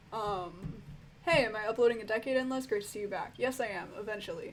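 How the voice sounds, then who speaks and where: A woman at a fairly high pitch, with big swings in loudness and audible room echo. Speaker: music reviewer YouTuber. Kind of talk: live stream Q&A, casual chat. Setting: live stream. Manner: casual, lots of fillers.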